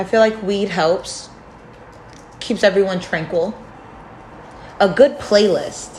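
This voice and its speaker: Speech comes at a very slow pace with long, frequent pauses and ordinary pitch variation, amid noticeable background noise. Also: woman, medium pitch for a woman. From New York. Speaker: podcast co-host. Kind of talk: casual chat.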